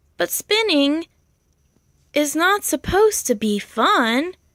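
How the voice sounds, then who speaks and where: A woman puts on a character voice, speaking at a high pitch and a fairly slow pace. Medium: read story.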